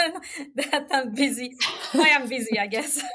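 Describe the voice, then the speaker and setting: A woman with a Quebec accent projects a raised voice at a high pitch, her tone bright and sharp, speaking at a fairly slow pace with ordinary pitch variation. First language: French. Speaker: gynecologist. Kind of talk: podcast interview.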